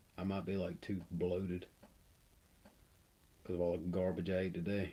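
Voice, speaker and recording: Soft-spoken, a man has a dark, mellow tone and a very deep, low pitch. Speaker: miniature painting streamer. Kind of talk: casual chat.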